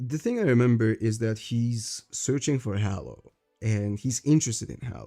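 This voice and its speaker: A man's medium-pitched voice with a dark, mellow tone, a non-native accent and a fairly slow pace. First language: not English. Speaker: streamer discussing manga. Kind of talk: live stream commentary. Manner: halting.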